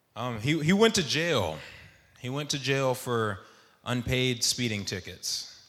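Lively intonation marks a man talking at a fairly slow pace, with audible room echo around him. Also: medium pitch for a man. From Texas, Dallas suburbs. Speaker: navy veteran. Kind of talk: storytelling. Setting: stage with audience.

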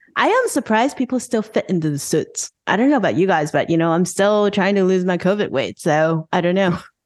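Using an ordinary speaking voice, a woman at a medium pitch talks at a fairly quick pace with lively intonation, very even loudness and hardly any pauses. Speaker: fintech founder and podcast host. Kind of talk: panel discussion.

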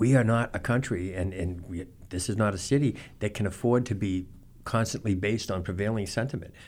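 The speaker has a normal speaking voice, moving at a moderate pace with fairly even intonation. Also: man. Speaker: newspaper journalist. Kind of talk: radio talk show conversation. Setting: radio studio.

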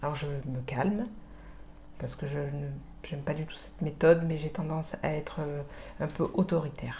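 A woman with a very deep, low pitch and a dark, mellow, somewhat breathy tone speaks at a moderate pace with fairly even intonation, long, frequent pauses and big swings in loudness. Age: 40s. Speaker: mother sharing late motherhood story. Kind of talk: testimony.

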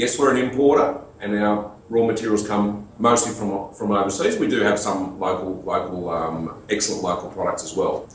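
A man with a fairly low pitch and ordinary pitch variation talks through audible room echo and noticeable background noise. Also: moderate pace, hardly any pauses. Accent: Australian. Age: 50s. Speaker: business owner. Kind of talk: interview.

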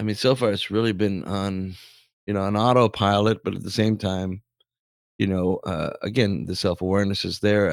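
Recorded very cleanly over a silent background, a man with a normal speaking voice talks at a fairly low pitch and a moderate pace, with fairly even intonation. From Canada. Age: 40s. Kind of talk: casual chat.

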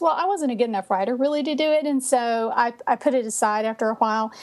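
A woman with an American accent speaks at a very fast pace over noticeable background noise. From Texas. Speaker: author. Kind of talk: casual interview chat.

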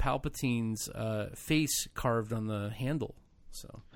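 In a very clean recording with a silent background, a man with an American accent talks at a fairly slow pace in a plain, everyday voice with ordinary pitch variation. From United States. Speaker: podcast host. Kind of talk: casual chat.

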